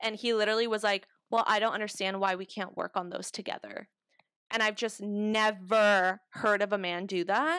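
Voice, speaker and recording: A woman's medium-pitched voice with an American accent, bright and sharp in tone, at a moderate pace with fairly even intonation. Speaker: podcast co-host. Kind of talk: casual chat.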